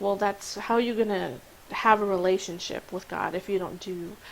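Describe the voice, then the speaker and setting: This woman talks at a moderate pace, her pitch sitting in the medium range. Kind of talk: informal religious talk to camera. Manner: halting, with fillers and restarts.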